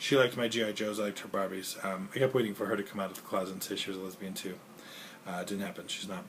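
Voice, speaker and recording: A man talks with lively intonation. His pace is very fast. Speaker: 911 dispatcher and video blogger. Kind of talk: casual vlog monologue. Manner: rambling with filler noises.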